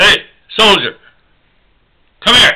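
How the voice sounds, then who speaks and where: A man in a put-on character voice. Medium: solo performance. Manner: loud, barking, curt.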